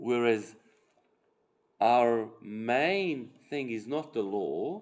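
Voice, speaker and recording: Medium-pitched speech from a man, very slow, with ordinary pitch variation and audible room echo. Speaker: parish catechism teacher. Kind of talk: lecture with group discussion. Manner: halting.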